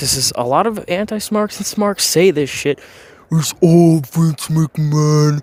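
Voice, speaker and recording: A man speaks at a fairly slow pace, his fairly high pitch moving with ordinary variation. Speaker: wrestling commentary youtuber. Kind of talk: opinion rant. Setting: home recording. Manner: halting, many fillers. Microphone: audio issues.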